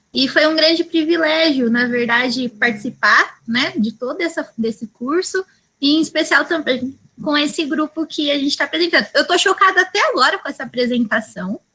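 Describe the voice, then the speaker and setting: A raised, projected voice with a bright, sharp tone, lively intonation and a moderate pace. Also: woman, high pitch for a woman. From interior of São Paulo state, Brazil. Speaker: early childhood educator in study group. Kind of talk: casual self-introduction. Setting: video call.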